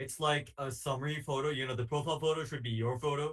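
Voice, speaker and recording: A man at medium pitch, somewhat breathy, with fairly even intonation and a very fast pace. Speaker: workshop presenter. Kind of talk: online workshop presentation.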